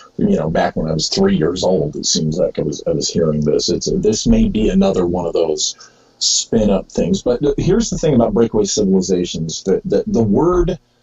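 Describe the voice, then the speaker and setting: A man's fairly quick speech over music in the background. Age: 50s. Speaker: author and researcher. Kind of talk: interview. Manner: halting, many fillers.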